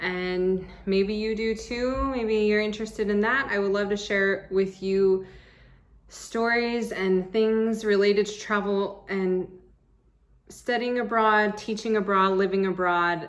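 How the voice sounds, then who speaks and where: A woman with an American accent speaks at a fairly slow pace and a medium pitch. Her intonation is monotone and flat, and audible room echo surrounds her. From US Southwest, Arizona. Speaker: travel vlogger and English teacher. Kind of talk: casual vlog monologue.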